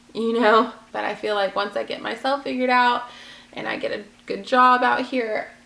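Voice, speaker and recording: A woman with an American accent at a moderate pace, with long, frequent pauses and noticeable background noise. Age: 20s. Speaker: vlogger. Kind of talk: personal vlog.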